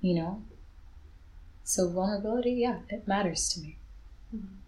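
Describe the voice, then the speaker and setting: Soft-spoken and medium in pitch, a woman talks at a moderate pace with long, frequent pauses. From Zambia, then Ireland from age eight. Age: 20s. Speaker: poet and author. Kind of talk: casual chat; spoken word poetry.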